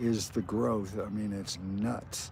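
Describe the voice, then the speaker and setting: With an American accent, a man talks in a relaxed tone that is dark and mellow. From upstate New York (Auburn, near Syracuse), later Florida. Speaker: skateboarding livestreamer. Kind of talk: casual livestream chat. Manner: relaxed, many fillers.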